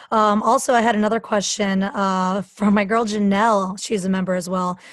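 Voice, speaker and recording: At a moderate pace, a woman speaks at a medium pitch in a somewhat breathy voice with fairly even intonation. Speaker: podcast host and fitness coach. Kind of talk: casual interview.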